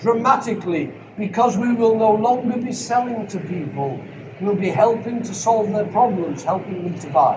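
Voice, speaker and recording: Amid noticeable background noise and audible room echo, a man with an extremely high pitch speaks at a moderate pace with ordinary pitch variation. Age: 70s. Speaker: sales trainer. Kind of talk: Q&A at a seminar. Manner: energetic.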